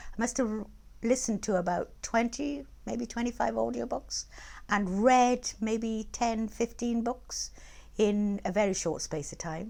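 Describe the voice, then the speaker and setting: A woman's dark, mellow tone with lively intonation at a fairly slow pace, on a very clean recording with a silent background. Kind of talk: interview answer.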